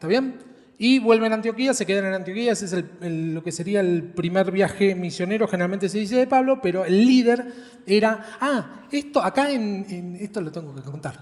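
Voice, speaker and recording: Here a man talks with a high pitch. His intonation is lively. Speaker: preacher. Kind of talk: sermon.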